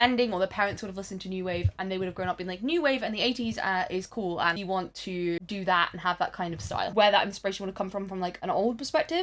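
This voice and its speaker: A woman with a British accent speaks at a medium pitch with ordinary pitch variation. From Britain. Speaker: music video essayist. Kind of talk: casual video essay commentary. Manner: animated.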